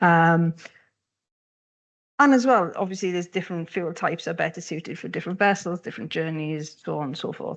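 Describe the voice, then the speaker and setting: A woman talks at a fairly quick pace with a fairly low pitch against a quiet background. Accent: Welsh. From Wales. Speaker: economic geographer, panelist. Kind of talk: panel discussion. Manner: animated, moves hands while talking.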